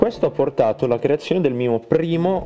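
Noticeable background noise fills the clip. A man talks at a moderate pace with lively intonation. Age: 20s. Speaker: podcaster and logistics technician. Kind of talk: solo casual monologue.

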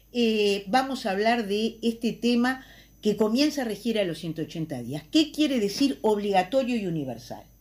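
A woman with an unremarkable speaking voice talks at a fairly slow pace, her fairly high pitch carrying lively intonation in a very clean recording with a silent background. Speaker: politician. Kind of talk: recorded column.

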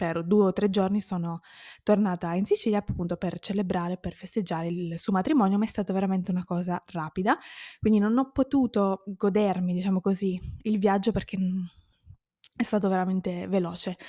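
Speaking at a fairly quick pace with long, frequent pauses, a woman uses a medium pitch, a dark, mellow tone, and fairly even intonation. The sound is dry and close with no echo, on a very clean recording with a silent background. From Sicily, Modica. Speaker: language teacher, podcaster. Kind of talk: solo podcast monologue.

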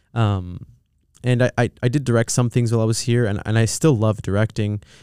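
Speaking very fast with a Californian accent, a man with a fairly low pitch and a dark, mellow tone comes across in a dry, close sound with no echo. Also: very clean recording, silent background. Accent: Californian American English. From Southern California. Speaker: film producer. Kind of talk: casual chat. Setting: studio.

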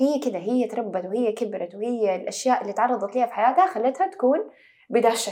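Talking at a fairly quick pace, a woman uses an ordinary speaking voice with a fairly high pitch and lively intonation. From Saudi Arabia. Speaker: actress. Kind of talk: casual chat.

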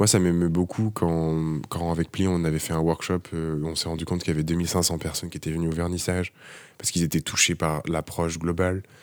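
A man speaks in a calm, monotone voice with flat intonation at a very deep, low pitch and a fairly quick pace. The recording is very clean, with a silent background. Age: 30s. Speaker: architect. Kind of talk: casual interview. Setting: office workshop. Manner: soft-spoken.

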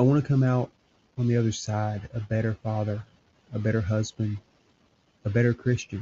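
Somewhat breathy and medium in pitch, a man talks at a fairly quick pace in a monotone, flat intonation, broken by long, frequent pauses. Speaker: religious podcast host. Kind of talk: solo monologue. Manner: halting.

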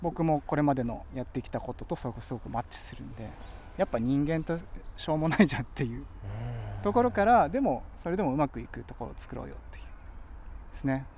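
Fairly high male voice at a very fast pace, with lively intonation and big swings in loudness. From Tokyo, Musashino area. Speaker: author and cycling policy advocate. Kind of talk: casual interview chat. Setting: outdoors by a riverbank.

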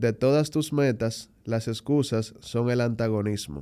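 This man's tone is dark and mellow, his pace fairly slow, and his pitch varies in an ordinary way. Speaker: podcast host. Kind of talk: casual chat; rhymed poetic introduction.

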